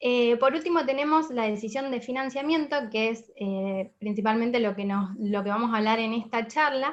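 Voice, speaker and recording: This woman has a normal speaking voice with fairly high pitch and ordinary pitch variation. She speaks with hardly any pauses. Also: moderate pace. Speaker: finance lecturer. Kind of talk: online lecture. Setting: video call, camera off. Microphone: poor internet connection.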